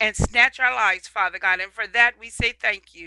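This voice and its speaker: A woman's bright, sharp tone at a moderate pace with fairly even intonation, dry sound with no echo and light background noise. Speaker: evangelist. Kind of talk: prayer and sermon. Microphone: headset.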